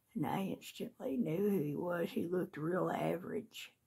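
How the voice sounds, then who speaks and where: A woman with a Southern US accent speaks at a fairly slow pace in a dark, mellow tone with vocal fry. Her pitch is fairly low, and her intonation is lively. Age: 60s. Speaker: video blogger. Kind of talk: casual chat.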